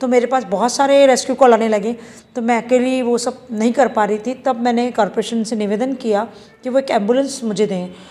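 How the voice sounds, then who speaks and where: A woman's high-pitched voice at a moderate pace. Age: 50s. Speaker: animal welfare activist. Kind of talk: news interview.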